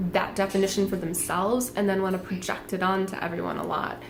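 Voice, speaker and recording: A woman is speaking. Her voice carries an audible room echo. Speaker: tarot reader. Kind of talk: tarot reading monologue. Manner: casual, many fillers; speaking louder.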